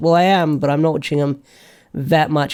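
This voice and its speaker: The man's voice has a dark, mellow tone. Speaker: YouTuber answering viewer questions. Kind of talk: casual Q&A livestream-style chat. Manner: mumbling, lots of fillers; halting, self-correcting.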